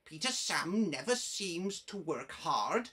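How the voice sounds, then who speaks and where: A woman puts on a character voice, medium in pitch and fairly slow. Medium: read story. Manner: teasing, boastful.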